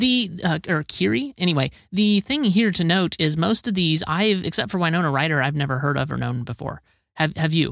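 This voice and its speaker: At a fairly quick pace with hardly any pauses, a man talks at a fairly high pitch with lively intonation in a very clean, dry, close recording with a silent background and no echo. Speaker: podcast host. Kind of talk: casual chat. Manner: halting.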